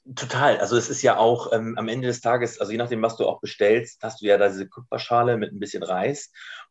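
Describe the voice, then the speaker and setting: A man's medium-pitched voice, very fast with hardly any pauses and fairly even intonation. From northern Germany, Schleswig-Holstein. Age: 20s. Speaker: insurance partnerships manager. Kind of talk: casual interview chat. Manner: halting.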